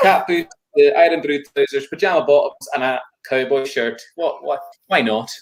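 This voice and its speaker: The speaker is a man with a Hebridean accent. His voice sits fairly high. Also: ordinary pitch variation, moderate pace. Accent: Scottish Hebridean. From Isle of Lewis, Scotland. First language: Scottish Gaelic. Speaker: folk singer and Gaelic tutor. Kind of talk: casual interview chat.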